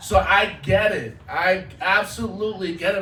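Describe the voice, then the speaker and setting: Noticeable background noise and audible room echo accompany a man's speech. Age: 30s. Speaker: social media content creator. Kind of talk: talk to an audience. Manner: casual.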